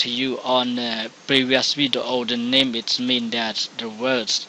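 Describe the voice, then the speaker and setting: A man speaks extremely slowly in a mostly level tone while clear noise sounds in the background. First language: Khmer. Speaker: English teacher. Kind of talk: tutorial. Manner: halting.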